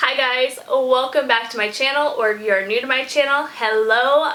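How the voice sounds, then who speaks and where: Amid noticeable background noise, a woman with an American accent speaks at a high pitch and moderate pace, her pitch varying in an ordinary way. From US, rural country town. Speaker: music reaction youtuber. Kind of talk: casual vlog chat.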